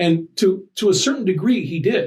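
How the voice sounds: With lively intonation, a man speaks amid audible room echo.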